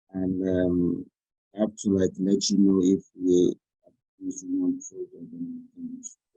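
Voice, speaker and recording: A man speaks quietly at a very slow pace. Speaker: student. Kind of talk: question in online class. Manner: halting.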